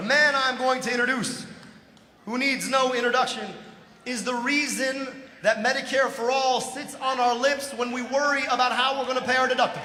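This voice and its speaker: A man's extremely high-pitched, raised and projected voice in an American accent, with audible room echo and noticeable background noise. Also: fairly quick pace. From Michigan, US. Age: 40s. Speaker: political candidate. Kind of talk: political speech. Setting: stage with audience. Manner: animated.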